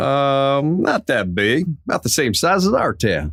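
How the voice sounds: Putting on a character voice, a man speaks at a fairly slow pace and medium pitch with big pitch swings, vocal fry and a fairly bright tone.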